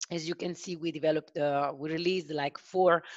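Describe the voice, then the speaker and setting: With an Italian accent, a woman speaks at a very deep, low pitch with ordinary pitch variation, recorded dry and close with no echo against a quiet background. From Italy. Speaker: software sales consultant. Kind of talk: webinar product demo. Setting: online video call. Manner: hesitant, many filler sounds.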